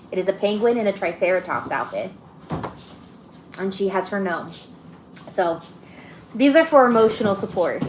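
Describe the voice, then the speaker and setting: Over music in the background, a woman talks with lively intonation and long, frequent pauses. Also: medium pitch for a woman, moderate pace. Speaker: podcast co-host. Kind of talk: casual chat. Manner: loud. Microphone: mic broken, no mic on.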